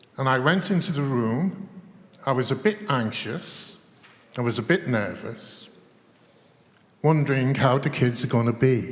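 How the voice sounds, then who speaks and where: Speaking with an English accent, a man keeps a medium pitch and lively intonation at a fairly slow pace. He pauses long and often. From England. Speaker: chess teacher trainer. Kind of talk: panel discussion. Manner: animated.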